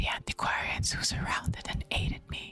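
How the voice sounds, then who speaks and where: Someone is whispering at a moderate pace. Music plays in the background. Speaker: streamer. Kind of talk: horror story reading. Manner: whispered.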